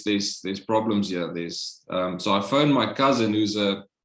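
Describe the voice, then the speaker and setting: Speaking with a South African accent, a man keeps a moderate pace. His pitch is fairly low and his intonation fairly even. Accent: Afrikaans South African English. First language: Afrikaans. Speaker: Covid survivor. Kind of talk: interview, personal testimony.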